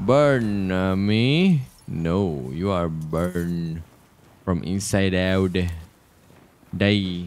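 At a very slow pace, a man speaks in a very deep, low pitch with ordinary pitch variation and long, frequent pauses. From Malaysia. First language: Malay. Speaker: gaming streamer. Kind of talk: let's play commentary. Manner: animated. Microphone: studio mic.

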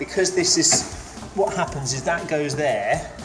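Speech at a moderate pace with clear music in the background. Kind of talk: casual walk-through commentary. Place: home room. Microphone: phone near.

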